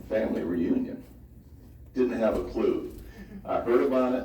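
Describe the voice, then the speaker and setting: A man with an American accent amid noticeable background noise and audible room echo. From Southern California (Hollywood). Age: 70s. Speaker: family history presenter. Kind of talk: speech to an audience. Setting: family reunion presentation with audience. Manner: hesitant, many fillers.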